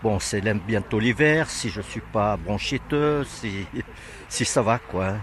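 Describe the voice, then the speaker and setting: A man with a fairly low voice talks at a very slow pace, his pitch varying in an ordinary way. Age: 80s+. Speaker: workshop participant. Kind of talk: interview.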